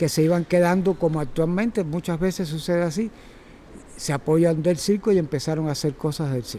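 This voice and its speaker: A man speaks at a moderate pace with a fairly high pitch. He has a Cuban accent. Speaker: circus teacher. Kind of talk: talk to audience. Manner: halting.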